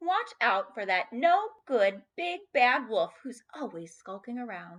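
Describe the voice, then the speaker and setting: A woman puts on a character voice, pitched high and swinging very widely, at a fairly slow pace. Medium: read story.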